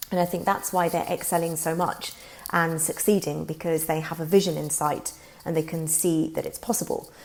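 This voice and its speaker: A woman's fairly low voice at a moderate pace, with monotone, flat intonation and noticeable background noise. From Indian heritage. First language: Gujarati. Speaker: language learning vlogger. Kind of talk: casual monologue to camera. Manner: hesitant, many filler words.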